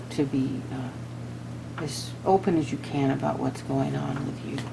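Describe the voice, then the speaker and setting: A woman is speaking. There is audible room echo and noticeable background noise. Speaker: tarot reader. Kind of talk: tarot reading monologue. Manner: halting, many fillers and restarts.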